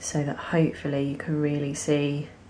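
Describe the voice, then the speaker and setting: Against noticeable background noise, a woman speaks fairly slowly in a very deep, low voice with monotone, flat intonation. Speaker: nail technician. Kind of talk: tutorial talk to camera. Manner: casual, hesitant with fillers.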